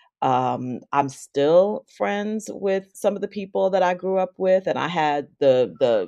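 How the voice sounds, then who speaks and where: A woman speaks in a plain, everyday voice with an American accent, pitched fairly low, with lively intonation at a fairly slow pace. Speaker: arts nonprofit CEO. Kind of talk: casual interview.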